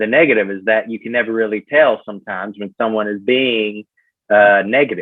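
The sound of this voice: A man with a Southern US accent, fairly low in pitch, fairly quick in pace, with fairly even intonation. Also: big swings in loudness.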